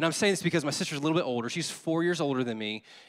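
With music in the background, a man in a Southern US accent speaks in an animated tone at a fairly high pitch with ordinary pitch variation. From Louisiana, US Deep South (Baton Rouge). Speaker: associate pastor. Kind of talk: sermon. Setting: church.

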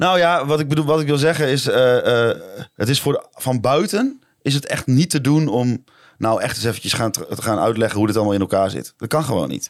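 A man's fairly high-pitched, ordinary speaking voice at a fairly quick pace, with lively intonation. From Netherlands. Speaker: football podcast co-host. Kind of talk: casual chat.

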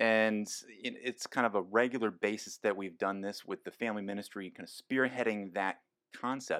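Speaking at a fairly quick pace, this man has a fairly low pitch. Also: dry, close sound with no echo. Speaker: podcast host. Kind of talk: casual chat. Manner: animated.

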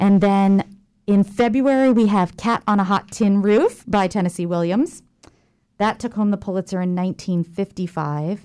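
A woman with an American accent speaks at a medium pitch with ordinary pitch variation. Her tone is dark and mellow, and the sound is dry and close with no echo. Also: moderate pace, very clean recording, silent background. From Jacksonville, Florida. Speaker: theater manager and lecturer. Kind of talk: casual interview. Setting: radio studio.

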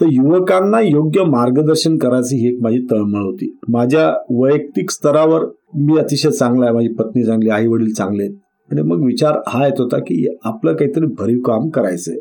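Lively intonation marks a man's medium-pitched voice, its tone dark and mellow. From Hingoli, Marathwada, Maharashtra. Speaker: retired police officer. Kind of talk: interview.

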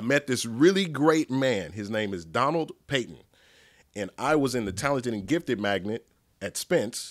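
In a dry, close recording with no echo, a man with an American accent and a normal speaking voice talks at a moderate pace and medium pitch with lively intonation. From Dallas, Texas (southern side). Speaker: nonprofit leader. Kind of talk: casual interview chat.

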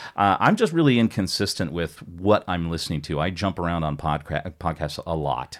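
Speaking with an American accent, a man uses a very deep, low pitch with ordinary pitch variation. He moves at a moderate pace with hardly any pauses while music plays in the background. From United States. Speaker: podcast guest. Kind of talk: casual chat. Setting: studio.

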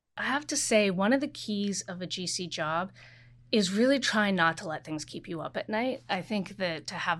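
In a very clean recording with a silent background, a woman uses a normal speaking voice at a moderate pace with lively intonation. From Oregon, US Pacific Northwest. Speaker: corporate general counsel. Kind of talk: interview.

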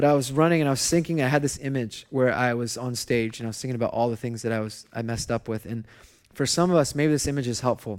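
With ordinary pitch variation, a man races through his words at a very fast pace in a medium register. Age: 30s. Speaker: pastor. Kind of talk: sermon. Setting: church.

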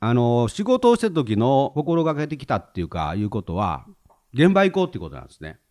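At a fairly quick pace, a man with a medium pitch makes very wide pitch swings and big swings in loudness. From Hyogo, Himeji (Kansai). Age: 50s. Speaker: retired civil servant. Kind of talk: casual chat.

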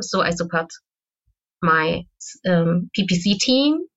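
A woman speaks with a German accent and ordinary pitch variation. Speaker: SEO manager. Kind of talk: interview. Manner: loud.

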